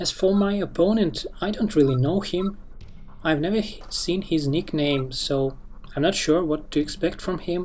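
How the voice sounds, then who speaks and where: A man with a non-native accent and high pitch, ordinary pitch variation, over background music. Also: moderate pace. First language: not English. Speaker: gamer commentating own match. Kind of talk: live game commentary. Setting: screen recording. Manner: halting.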